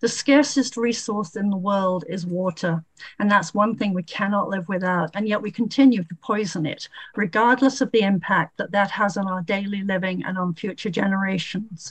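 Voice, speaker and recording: A somewhat breathy woman at medium pitch, ordinary pitch variation, and moderate pace, over a quiet background. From Vermont. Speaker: citizen testifier; public witness. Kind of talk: public testimony. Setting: video call. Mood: earnest, concerned advocacy. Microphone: webcam.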